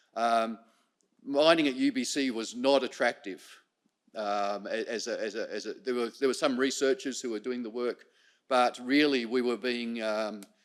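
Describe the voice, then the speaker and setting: With an Australian accent, a man talks at a medium pitch and a moderate pace, his intonation fairly even. The recording is very clean, with a silent background. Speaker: professor. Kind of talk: conference presentation. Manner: halting, many fillers and repetitions.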